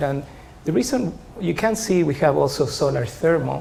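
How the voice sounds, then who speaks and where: Amid noticeable background noise and audible room echo, a man with a Spanish accent speaks at a fairly high pitch and a moderate pace. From Chile. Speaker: professor. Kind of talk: lecture. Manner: hesitant, many filler sounds.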